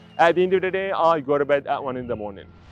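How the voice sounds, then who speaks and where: Very fast speech in a Jordanian accent with very wide pitch swings, music in the background. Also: man. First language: Arabic. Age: 20s. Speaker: English teacher. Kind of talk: prepared self-introduction monologue. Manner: rehearsed.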